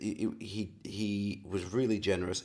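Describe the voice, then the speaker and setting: A fairly low-pitched man's voice in an Australian accent. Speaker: actor and acting coach. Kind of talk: interview.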